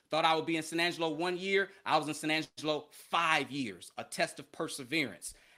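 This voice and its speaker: In a very clean recording with a silent background, a bright, sharp voice with an American accent moves at a fairly quick pace with fairly even intonation. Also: man. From Chicago, US Midwest. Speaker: educational media consultant, former TV sports journalist. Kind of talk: interview.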